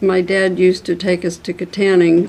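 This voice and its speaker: A woman's fairly low voice with a Western Pennsylvania accent. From Armstrong County, Pennsylvania. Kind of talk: oral history interview answer.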